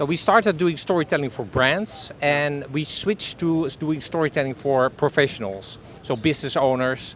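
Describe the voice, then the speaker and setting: A man with a Dutch accent speaks at a fairly high pitch. Noticeable background noise is present. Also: lively intonation, moderate pace. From Netherlands. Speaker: business owner, storytelling consultant. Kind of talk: interview answer. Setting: outdoors.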